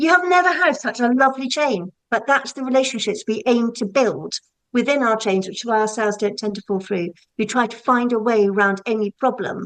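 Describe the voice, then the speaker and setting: A woman talks at a fairly quick pace. Her intonation is lively. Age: 60s. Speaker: self-employed estate agent. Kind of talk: podcast interview. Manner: animated.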